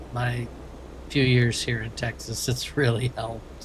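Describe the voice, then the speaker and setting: Speaking at a medium pitch, this man has an American accent. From Maine, US. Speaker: streamer. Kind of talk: casual chat. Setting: livestream while playing a truck game.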